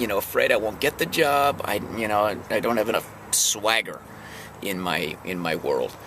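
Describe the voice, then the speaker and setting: This man talks at a moderate pace in a fairly low voice with lively intonation. Noticeable background noise runs behind him. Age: 50s. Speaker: house painter and singer-songwriter vlogger. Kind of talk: casual vlog monologue. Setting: parked in his truck. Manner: halting, many fillers.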